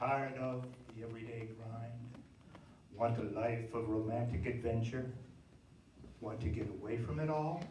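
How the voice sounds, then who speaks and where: Noticeable background noise sits under a man speaking at a medium pitch with fairly even intonation. His pace is fairly slow, with long, frequent pauses. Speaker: radio announcer. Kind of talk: vintage radio drama announcer intro.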